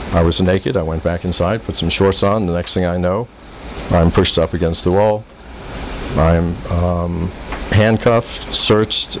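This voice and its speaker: With noticeable background noise behind him, a man speaks in a very deep, low pitch with fairly even intonation. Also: moderate pace. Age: 60s. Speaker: expatriate businessman. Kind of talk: interview answer.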